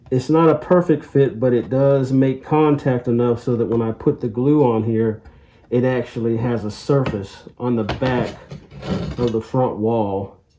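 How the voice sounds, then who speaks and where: Amid noticeable background noise, a man speaks at a medium pitch and a fairly slow pace with ordinary pitch variation. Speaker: model railroad hobbyist. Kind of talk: tutorial. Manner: casual.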